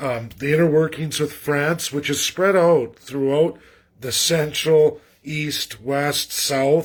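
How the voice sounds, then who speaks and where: At a very slow pace, a man speaks in a fairly high pitch with fairly even intonation. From western Canada (Alberta). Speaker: political commentator livestreamer. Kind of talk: casual livestream monologue. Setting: livestream from rural area, shaky internet. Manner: rambling, repeats words, halting.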